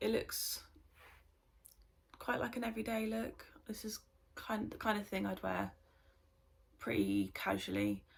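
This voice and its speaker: This woman talks at a moderate pace with a British accent. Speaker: beauty vlogger. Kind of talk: casual vlog chat. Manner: hesitant, many filler ums.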